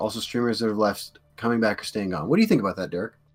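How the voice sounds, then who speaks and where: Music can be heard in the background. The pitch varies in an ordinary way. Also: man. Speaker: podcast co-host and streamer. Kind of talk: casual chat. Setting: live stream with chat.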